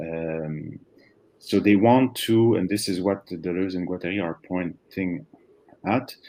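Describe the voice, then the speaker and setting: A man with a non-native accent, fairly low pitch and ordinary pitch variation, on a very clean recording with a silent background. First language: not English. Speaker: philosophy conference speaker. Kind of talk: academic Q&A answer. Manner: halting, many fillers and restarts.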